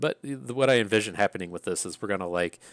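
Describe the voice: With an Appalachian accent, a man speaks fast in a fairly low voice. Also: ordinary pitch variation. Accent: Appalachian American.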